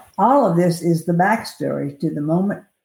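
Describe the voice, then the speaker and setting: A woman with an American accent has a fairly low, dark, mellow voice that is somewhat breathy. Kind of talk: reading aloud.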